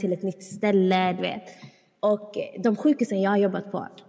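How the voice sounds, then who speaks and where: At a fairly slow pace, a woman talks in a normal speaking voice with medium pitch and ordinary pitch variation. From small town in Sweden. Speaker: podcast co-host. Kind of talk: casual chat.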